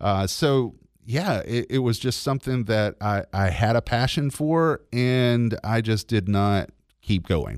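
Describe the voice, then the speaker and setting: In a Southern US accent, the speaker goes at a very slow pace with very even loudness and ordinary pitch variation, on a very clean recording with a silent background. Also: man, medium pitch for a man. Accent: Southern US (Georgia). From US South, Georgia (LaGrange). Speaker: radio host. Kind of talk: testimony.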